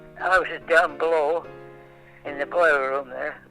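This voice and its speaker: Over music in the background, a man speaks fairly slowly with fairly even intonation. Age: 80s+. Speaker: Second World War navy veteran. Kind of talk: interview answer. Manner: hesitant, halting.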